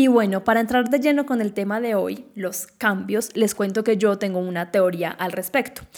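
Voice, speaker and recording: The speaker uses a normal speaking voice with ordinary pitch variation, keeping a moderate pace with hardly any pauses. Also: woman, medium pitch for a woman. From Colombia, Quindío. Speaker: podcast host. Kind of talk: solo podcast monologue.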